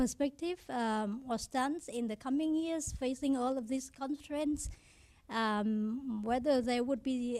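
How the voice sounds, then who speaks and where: A woman with a Vietnamese accent, dark and mellow in tone, at a fairly slow pace. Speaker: audience member, researcher. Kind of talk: audience question. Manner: halting, many fillers.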